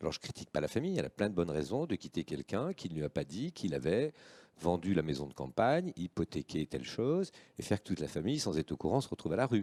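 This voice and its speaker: A man's very deep, low, dark and mellow voice with vocal fry, very wide pitch swings and a very fast pace, on a very clean recording with a silent background. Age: 60s. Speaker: association president and entrepreneur. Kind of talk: live panel talk. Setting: live-streamed panel on set.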